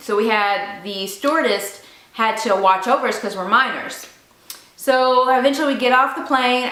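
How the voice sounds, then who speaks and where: Noticeable background noise sits behind a woman's voice. She speaks in a fairly high pitch with ordinary pitch variation. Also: moderate pace. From Memphis, Tennessee. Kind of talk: casual story time talk to camera.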